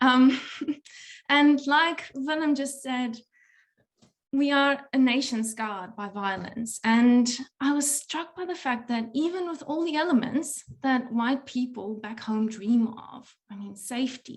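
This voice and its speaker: A woman's high voice at a fairly slow pace, with big swings in loudness. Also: ordinary pitch variation. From South Africa. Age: 30s. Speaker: podcaster. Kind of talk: talk at a workshop.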